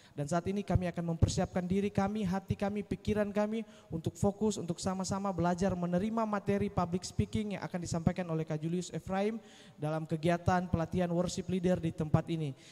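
A man speaks at a very fast pace with hardly any pauses. His pitch is high and his intonation fairly even. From Indonesia. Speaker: event emcee. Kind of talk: church event hosting. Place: church. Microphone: handheld.

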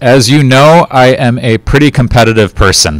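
The sound is dry with no echo, against a quiet background. A man is speaking. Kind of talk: school announcement address. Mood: upbeat, encouraging. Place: studio. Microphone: handheld.

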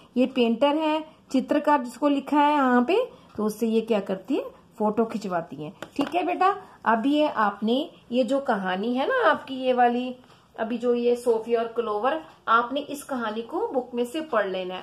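A high-pitched woman's voice with lively intonation and a fairly slow pace. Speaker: teacher. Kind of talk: lesson for young children. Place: home room. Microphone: phone near.

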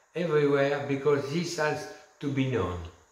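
Audible room echo hangs around this man's words. His pitch varies in an ordinary manner. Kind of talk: direct-to-camera presentation. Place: home room. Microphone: camera far.

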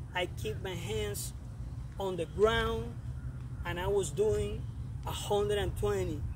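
With noticeable background noise and a dry, echo-free sound, a man speaks at a very slow pace. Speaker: fitness coach. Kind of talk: motivational workout talk. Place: open country.

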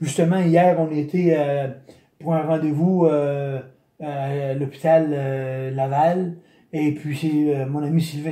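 A man talks in a dark, mellow, flat monotone. Room echo can be heard over a quiet background. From Quebec, Chaudière-Appalaches region; Quebec. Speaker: retired bicycle retailer, brain injury survivor; interviewee. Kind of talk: interview testimony. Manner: halting, many repetitions. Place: home room. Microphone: phone near.

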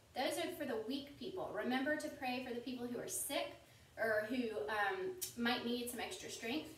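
A woman talks at a fairly quick pace in a high pitch with ordinary pitch variation, with audible room echo. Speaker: Sunday school teacher parent. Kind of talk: children's lesson. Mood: gentle, warm, reassuring. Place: home room. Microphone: camera far.

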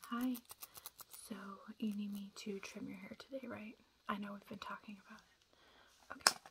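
Noticeable background noise behind a woman's moderate-paced speech, full of long, frequent pauses. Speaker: hairstylist in a roleplay. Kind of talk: ASMR hairdresser roleplay, soft talking to camera. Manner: soft-spoken, calm. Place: home room. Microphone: phone near.

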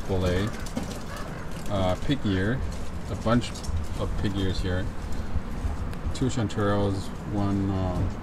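Against clear background noise, a man speaks slowly in a low pitch with fairly even intonation and long, frequent pauses.

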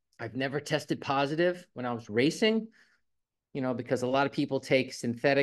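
Over a quiet background, a man with an ordinary speaking voice talks at medium pitch with ordinary pitch variation. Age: 50s. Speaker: guest promoting health products. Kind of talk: product promotion. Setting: video call. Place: home room. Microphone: video call.

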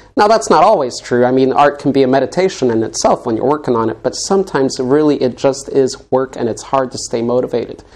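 Fairly quick male speech with an American accent. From Colorado, US. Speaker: interview show host. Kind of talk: casual interview chat. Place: studio.

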